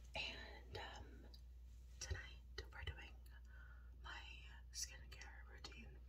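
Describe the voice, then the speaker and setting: A woman speaks at a very slow pace in a very deep, low voice, her intonation flat and monotone, with long, frequent pauses over light background noise. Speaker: ASMR vlogger. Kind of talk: ASMR skincare chat. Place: bathroom. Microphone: phone near.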